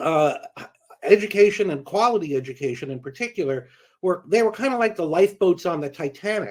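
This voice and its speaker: Speaking fairly quickly in an American accent, a man uses a high pitch and lively intonation. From California (Silicon Valley). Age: 60s. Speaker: education policy expert, former reporter. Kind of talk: panel talk. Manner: halting, many fillers.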